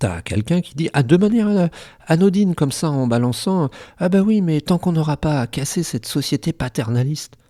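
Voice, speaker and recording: A man's voice has a dark, mellow tone at a moderate pace, with big swings in loudness. The sound is dry and close with no echo, on a very clean recording with a silent background. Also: fairly high pitch for a man. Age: 60s. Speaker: YouTuber commentator. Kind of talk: casual commentary. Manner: animated, hesitant with repetitions.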